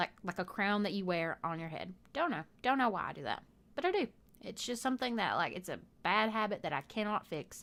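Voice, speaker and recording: Recorded very cleanly against a silent background, a woman with a Southern US accent and a medium pitch speaks at a fairly quick pace with lively intonation. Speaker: gaming youtuber. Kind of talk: casual chat over gameplay. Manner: rambling, halting with fillers.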